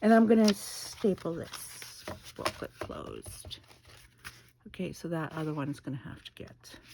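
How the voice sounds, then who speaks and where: A soft-spoken woman talks at a fairly slow pace in a fairly low pitch. Her intonation is lively, and her loudness swings widely. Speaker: craft video maker. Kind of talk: casual craft tutorial.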